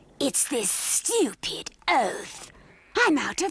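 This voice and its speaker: In a cartoonish character voice, someone speaks very slowly at a high pitch with very wide pitch swings. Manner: blunt, sardonic.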